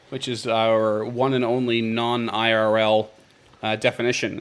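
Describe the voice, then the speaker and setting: With an East Coast accent, a man talks at a fairly slow pace and a medium pitch. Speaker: podcast host. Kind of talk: casual chat. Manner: halting, many fillers.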